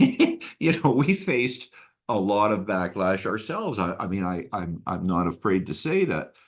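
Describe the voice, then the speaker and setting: The intonation is lively and the pace is moderate. The background is quiet. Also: man, fairly low pitch for a man. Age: 60s. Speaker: retired engineer. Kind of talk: interview. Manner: halting, many repeated words.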